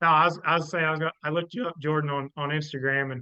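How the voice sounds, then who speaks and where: In a Southern US accent, a man talks at a very fast pace with monotone, flat intonation. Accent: Southern twang. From Southeast Missouri. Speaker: hunting podcast co-host. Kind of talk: casual chat.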